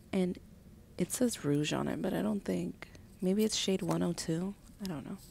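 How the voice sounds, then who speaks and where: A soft-spoken woman's gentle tone at a moderate pace. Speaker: stay-at-home mom and beauty ASMR creator. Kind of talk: ASMR makeup collection video, casual talk to camera. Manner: soft-spoken, gentle.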